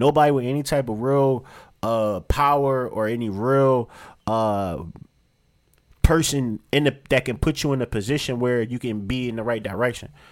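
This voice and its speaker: At a moderate pace, a man speaks with medium pitch and ordinary pitch variation in a very clean recording with a silent background. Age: 30s. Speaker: podcast host. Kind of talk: casual chat.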